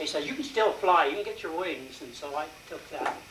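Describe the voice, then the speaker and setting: Moderate-paced male speech amid noticeable background noise and audible room echo. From Colorado, US. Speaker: war veteran. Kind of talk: talk to audience. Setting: meeting with audience. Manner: halting.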